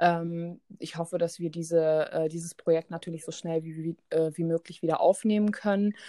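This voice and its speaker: The voice has a dark, mellow tone and monotone, flat intonation, moving at a moderate pace with hardly any pauses. Its loudness swings widely, and the sound is dry and close with no echo. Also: woman, fairly low pitch for a woman. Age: 30s. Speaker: animal welfare volunteer and photographer. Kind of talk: interview. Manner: many filler sounds (ähm, äh).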